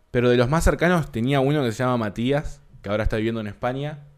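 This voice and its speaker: A man talks at a fairly quick pace in a medium pitch, with an ordinary speaking voice. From Uruguay (Montevideo), born in Buenos Aires area. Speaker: podcast co-host. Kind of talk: casual chat.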